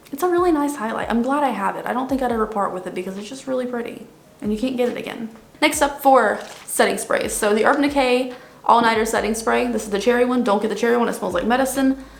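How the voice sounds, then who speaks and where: Speech runs at a very fast pace with ordinary pitch variation. Noticeable background noise and audible room echo are present. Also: woman, high pitch for a woman. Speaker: beauty youtuber. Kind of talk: casual product review.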